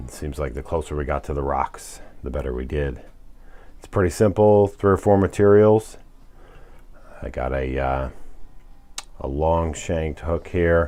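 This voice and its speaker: Soft-spoken and very deep in pitch, a man talks at a moderate pace with ordinary pitch variation and long, frequent pauses. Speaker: fly tying instructor. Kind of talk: tutorial. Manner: soft-spoken, keeping voice low; casual.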